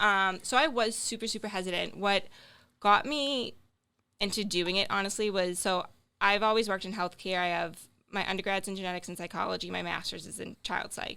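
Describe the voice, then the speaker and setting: A woman with a strong Boston accent speaks at a fairly quick pace in a bright, sharp tone, her medium pitch showing ordinary variation while her loudness swings widely. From Boston area, Massachusetts. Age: 20s. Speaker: social media creator and healthcare worker. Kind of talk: casual podcast interview. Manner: animated.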